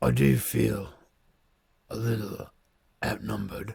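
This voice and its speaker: A man puts on a character voice that is raspy and fairly low in pitch. He speaks at a fairly slow pace. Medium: actual play. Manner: smooth, measured.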